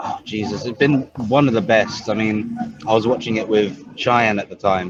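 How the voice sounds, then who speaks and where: A man speaks at a medium pitch and moderate pace. His pitch variation is ordinary. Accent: British. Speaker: robot combat fan commentator. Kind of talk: casual chat. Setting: back of a heavy metal bar.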